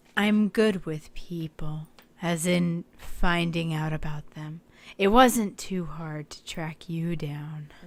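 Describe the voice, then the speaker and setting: Using a put-on character voice, a woman speaks at a very slow pace in a raspy, fairly low pitch. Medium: game stream. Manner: calm, self-assured.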